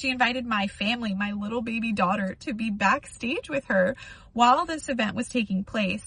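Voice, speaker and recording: Moderate pace, ordinary pitch variation, and an ordinary speaking voice. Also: woman. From United States. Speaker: youtuber. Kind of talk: testimony.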